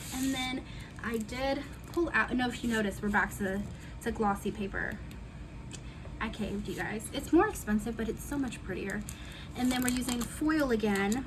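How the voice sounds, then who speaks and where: Amid audible room echo, a woman with a fairly high pitch speaks with long, frequent pauses. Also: ordinary pitch variation, moderate pace. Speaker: planner hobbyist youtuber. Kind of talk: casual crafting tutorial chat. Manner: voice cutting in and out.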